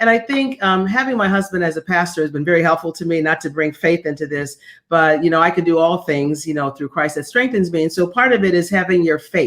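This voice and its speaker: A woman speaks at a very fast pace with hardly any pauses. Her fairly low pitch shows ordinary pitch variation. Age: 60s. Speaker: former executive and executive coach. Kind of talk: interview. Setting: video call.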